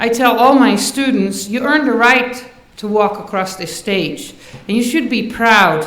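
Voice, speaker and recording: A woman speaks with a Dutch accent and ordinary pitch variation. Noticeable background noise and audible room echo are present. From Netherlands. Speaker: university faculty member. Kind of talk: commencement speech.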